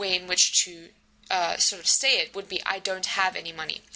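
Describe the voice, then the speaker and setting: A woman is speaking. She has a South African accent. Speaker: university lecturer. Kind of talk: recorded lecture. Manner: hesitant with many fillers.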